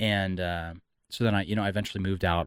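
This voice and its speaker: In a Californian accent, a man with a very deep, low pitch speaks at a moderate pace with fairly even intonation, on a very clean recording with a silent background. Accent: General American (Californian). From Southern California. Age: 30s. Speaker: entrepreneur and mental health advocate. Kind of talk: podcast interview, personal testimony. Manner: halting, many repeated words.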